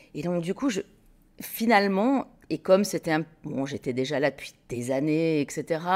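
Speaking at a fairly slow pace with long, frequent pauses, a woman uses a fairly low pitch and lively intonation. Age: 50s. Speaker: textile business co-founder. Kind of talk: interview conversation. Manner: hesitant, with frequent repetitions.

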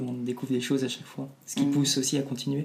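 With a dark, mellow tone, a man at medium pitch talks at a fairly quick pace in a monotone, flat delivery. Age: 20s. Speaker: climate activist. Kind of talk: casual interview conversation.

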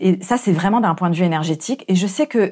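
A woman's dark, mellow tone, with ordinary pitch variation, comes through a very clean recording with a silent background. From France. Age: 30s. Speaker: life coach. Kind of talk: solo podcast monologue. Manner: hesitant, with fillers.

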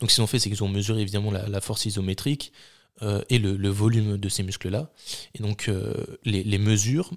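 With an unremarkable speaking voice at a fairly low pitch, a man talks at a fairly quick pace in a dry, close sound with no echo. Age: 20s. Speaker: sports podcast host, student coach. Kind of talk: casual chat.

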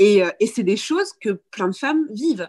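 A woman speaks at a fairly slow pace, and the sound is dry and close with no echo. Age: 30s. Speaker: breastfeeding content creator. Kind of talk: casual chat. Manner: halting.

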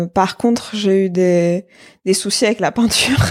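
A woman with an ordinary speaking voice, medium pitch, fairly even intonation and a fairly slow pace, on a very clean recording with a silent background. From Algeria, Algiers. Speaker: application engineer and artisan brand founder. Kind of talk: casual interview.

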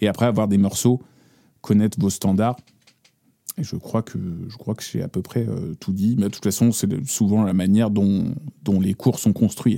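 A man's fairly low, dark, mellow voice with fairly even intonation, a moderate pace and long, frequent pauses. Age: 30s. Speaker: bassist. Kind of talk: casual chat.

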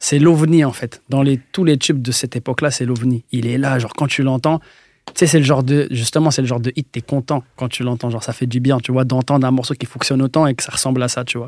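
At a very fast pace, a man with a medium-pitched voice talks with fairly even intonation in a dry, close sound with no echo. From France, Metz. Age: 20s. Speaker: music producer. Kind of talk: casual chat.

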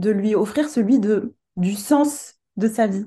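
A woman's fairly high, somewhat breathy voice, dark and mellow in tone, with ordinary pitch variation. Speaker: coach and medium. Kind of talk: casual interview chat. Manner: soft-spoken; hesitant, many filler words.

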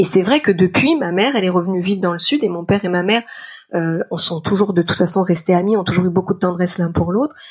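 Very fast delivery with ordinary pitch variation. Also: woman, medium pitch for a woman. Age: 40s. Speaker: freelance art director and writer sharing a personal story. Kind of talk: personal testimony.

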